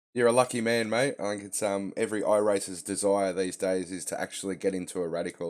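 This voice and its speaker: At a very fast pace, a man with an Australian accent speaks in a fairly low pitch with ordinary pitch variation. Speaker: sim racing streamer. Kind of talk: casual chat.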